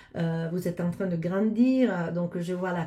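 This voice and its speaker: Very slow in pace, a woman's voice carries a dark, mellow tone. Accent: Italian. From Italy. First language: Italian (speaking French). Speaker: astrologer. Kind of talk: casual address to viewers. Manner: halting, many hesitations.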